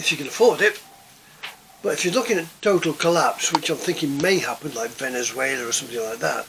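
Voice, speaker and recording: With an English accent, a man speaks at a very fast pace in a fairly high pitch. His pitch swings very widely, and noticeable background noise is present. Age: 70s. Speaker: prepping vlogger. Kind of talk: casual monologue. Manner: halting, many repetitions.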